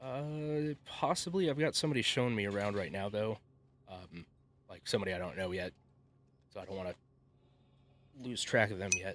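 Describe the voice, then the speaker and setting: A quiet man's voice, fairly low and fairly quick, with lively intonation and long, frequent pauses. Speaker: gaming streamer. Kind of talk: casual live stream chat.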